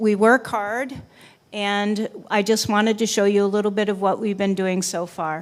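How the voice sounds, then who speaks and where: A woman speaks at a medium pitch in a flat monotone, recorded very cleanly against a silent background. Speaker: special education administrator. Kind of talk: presentation at board meeting. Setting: public board meeting. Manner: loud.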